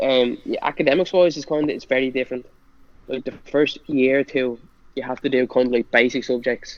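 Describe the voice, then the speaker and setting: A man with a strong Irish accent speaks at medium pitch with fairly even intonation. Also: fairly quick pace. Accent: thick Irish. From Ireland (Bray, County Wicklow). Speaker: college football player. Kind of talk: casual chat. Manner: fast; stutters when nervous.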